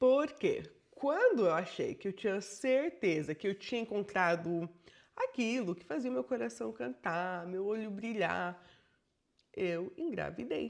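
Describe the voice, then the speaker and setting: A woman's animated, medium-pitched voice at a fairly slow pace, with vocal fry, very wide pitch swings and big swings in loudness, against a quiet background. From Brazil. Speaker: bilingual educator and vlogger. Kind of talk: personal storytelling vlog.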